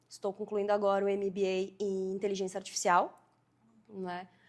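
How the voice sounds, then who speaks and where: A woman speaks at a moderate pace with a southern Brazilian accent. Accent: gaúcho Brazilian Portuguese. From southern Brazil, Rio Grande do Sul (Farroupilha). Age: 30s. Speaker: fashion designer and entrepreneur. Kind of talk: podcast interview.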